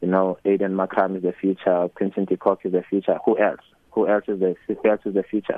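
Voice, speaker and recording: A man with a South African accent speaks at a fairly quick pace. His pitch is very deep and low, his intonation monotone and flat. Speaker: cricket coach. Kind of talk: radio interview.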